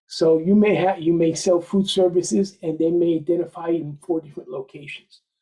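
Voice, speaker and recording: With a dark, mellow tone and a high pitch, a man speaks at a fairly quick pace with fairly even intonation and hardly any pauses. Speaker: federal contractor. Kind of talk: workshop presentation. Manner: soft-spoken.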